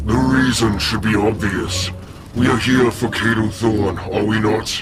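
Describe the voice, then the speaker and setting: Clear music plays in the background. The speaker uses a put-on character voice at a moderate pace. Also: man, medium pitch for a man. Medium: machinima. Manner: solemn, grave.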